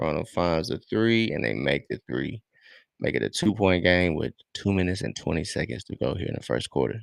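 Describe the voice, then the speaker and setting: A man's very deep, low voice with vocal fry, very wide pitch swings and an animated tone, at a fairly quick pace, in dry, close sound with no echo. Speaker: sports streamer. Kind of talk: live game commentary. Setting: live stream. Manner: casual, animated.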